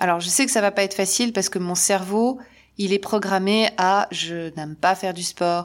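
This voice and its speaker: Fairly even intonation at a moderate pace, in a very clean recording with a silent background. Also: woman. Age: 50s. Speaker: podcaster, spiritual coach. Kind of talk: solo podcast monologue. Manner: casual, hesitant with repetitions.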